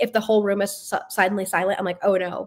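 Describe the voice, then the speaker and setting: A woman with an American accent speaks at a very fast pace. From US, Florida. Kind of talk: live interview. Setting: live stream. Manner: talkative.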